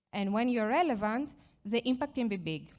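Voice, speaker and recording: A woman speaks at a fairly quick pace in a Greek accent. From Greece. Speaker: product marketing manager. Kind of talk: conference presentation. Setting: stage with audience.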